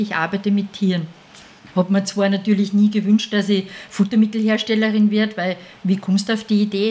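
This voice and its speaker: Against noticeable background noise, a woman of medium pitch speaks at a fairly quick pace. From Austria, Salzburg region (Mondsee). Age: 50s. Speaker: dog food maker, business owner. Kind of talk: casual interview.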